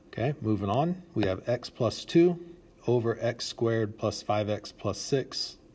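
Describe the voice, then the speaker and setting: This man's voice comes across as somewhat breathy. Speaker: math teacher. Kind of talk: tutorial.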